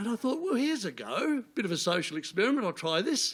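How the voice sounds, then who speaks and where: A man with an Australian accent talks at a moderate pace. The recording is very clean, and the background is silent. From Tasmania, northwest coast. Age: 70s. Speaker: comedian. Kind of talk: stand-up. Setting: stage with audience.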